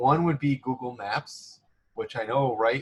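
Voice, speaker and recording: The voice is somewhat breathy. It belongs to a man. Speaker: career center staff presenter. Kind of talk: online workshop presentation. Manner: fast; casual, filler-heavy.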